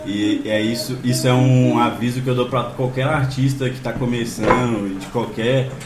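Amid noticeable background noise and audible room echo, a man speaks at medium pitch and a fairly slow pace with monotone, flat intonation. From Belo Horizonte, Minas Gerais. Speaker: musician. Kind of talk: casual chat. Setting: live stream video call.

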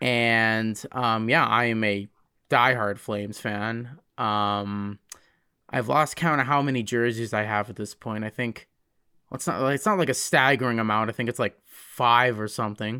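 With a bright, sharp tone and medium pitch, a man speaks at a moderate pace with fairly even intonation on a very clean recording with a silent background. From Alberta, Canada (High River). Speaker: podcast host. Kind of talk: casual chat.

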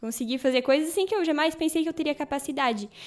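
Here a woman speaks with ordinary pitch variation. The recording is very clean, with a silent background. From Santa Catarina, Brazil. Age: 20s. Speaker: Bible course student. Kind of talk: casual chat.

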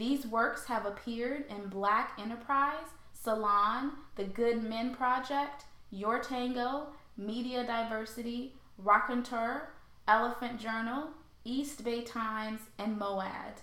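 A woman with an American accent and a fairly high pitch, very slow pace, fairly even intonation, noticeable background noise, and audible room echo. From St. Louis, Missouri. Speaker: podcast host. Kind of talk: scripted introduction; interview.

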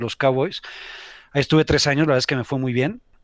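A man with a Mexico City accent speaks at a medium pitch with fairly even intonation, in a dry, close sound with no echo on a very clean recording with a silent background. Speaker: sports entrepreneur. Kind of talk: casual chat.

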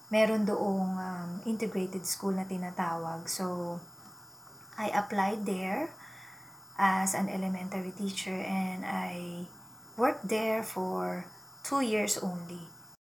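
A woman of medium pitch speaks at a very slow pace with fairly even intonation, with audible room echo and noticeable background noise. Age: 40s. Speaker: podcast host and teacher. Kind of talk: personal storytelling monologue.

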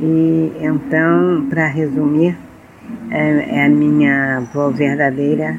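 A woman speaks over noticeable background noise. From Rio de Janeiro, Brazil (Tijuca). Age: 80s+. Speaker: storyteller of Afro-Brazilian culture. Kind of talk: interview, personal storytelling.

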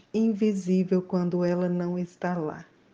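A woman's dark, mellow tone, medium in pitch and monotone, flat in intonation, at a very slow pace against a quiet background. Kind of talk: poem reading, solemn and intimate, addressed to 'you'. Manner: slow, measured, contemplative.

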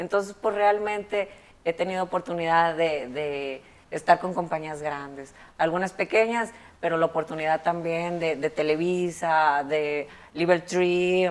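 On a very clean recording with a silent background, a woman is heard. She speaks at a fairly slow pace with ordinary pitch variation. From Mexico, Monterrey. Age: 30s. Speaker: barber and educator. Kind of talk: interview. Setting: barbershop.

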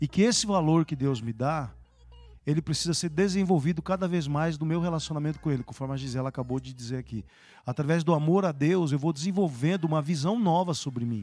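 This man has a fairly high pitch and a dark, mellow tone, with ordinary pitch variation. He talks at a fairly quick pace on a very clean recording with a silent background. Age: 60s. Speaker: bishop. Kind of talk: live-streamed church talk show interview.

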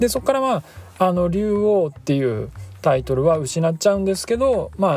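A man talks at a moderate pace with very wide pitch swings, over noticeable background noise. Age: 30s. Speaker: podcast host. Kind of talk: casual solo talk. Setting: in a car.

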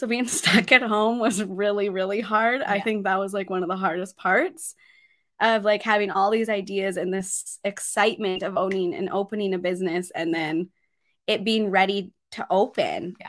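A woman talks in an ordinary speaking voice with a Canadian accent. Her medium pitch, fairly even intonation and moderate pace stay consistent. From Grand Prairie, Alberta, Canada. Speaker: skin clinic owner. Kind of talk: casual interview. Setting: studio.

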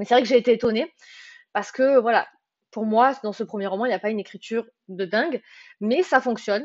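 Her fairly high voice moves with ordinary pitch variation as this woman talks at a fairly quick pace, broken by long, frequent pauses. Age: 20s. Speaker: book podcaster. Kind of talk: casual monologue. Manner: talkative; hesitant, many fillers.

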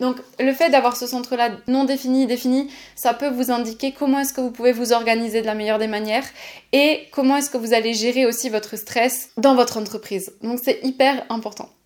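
Speaking fairly quickly, a woman uses a high voice. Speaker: podcast host and human design coach. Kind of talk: solo podcast monologue. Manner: fast; animated.

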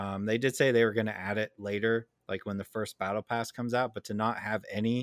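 A man with an unremarkable speaking voice talks at a fairly quick pace, his pitch fairly low and his intonation fairly even. The recording is very clean with a silent background, and the sound is dry and close with no echo. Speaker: podcast co-host. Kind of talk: casual chat.

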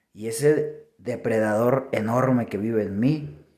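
The tone is dark and mellow, with a Mexican accent. Audible room echo surrounds the voice. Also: man. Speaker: podcaster. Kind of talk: reflective monologue.

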